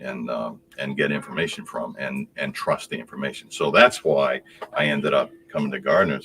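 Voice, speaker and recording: Noticeable background noise behind a man's moderately paced speech. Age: 70s. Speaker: customer, retired construction products salesman. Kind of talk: casual chat. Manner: halting.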